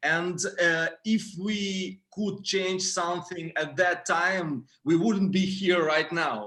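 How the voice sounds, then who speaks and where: A man talks at a very slow pace in a high pitch, his bright, sharp tone held to fairly even intonation. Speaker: band musician. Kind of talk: casual chat.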